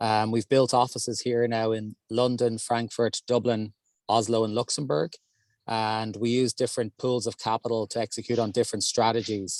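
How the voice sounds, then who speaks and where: In an Irish accent, a man speaks at a moderate pace with monotone, flat intonation, the sound dry and close with no echo against a quiet background. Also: medium pitch for a man. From Ireland. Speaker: real estate investment executive. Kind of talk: panel discussion. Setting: in a car.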